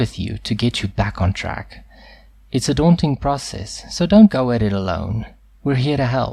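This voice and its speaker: The voice has a dark, mellow tone and is somewhat breathy. Its pitch swings very widely at a moderate pace. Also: man. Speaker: voice actor. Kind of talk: TV commercial read.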